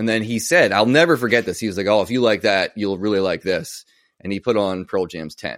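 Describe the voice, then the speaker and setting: Fairly low in pitch, a man talks at a fairly quick pace in an unremarkable speaking voice with ordinary pitch variation. The recording is very clean, with a silent background. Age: 40s. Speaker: guitarist and youtuber. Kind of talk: casual chat.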